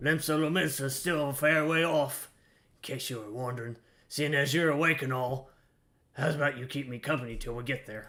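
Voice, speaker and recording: A man puts on a character voice, pitched fairly high and delivered fairly quickly. The recording is very clean, with a silent background. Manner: gruff, familiar.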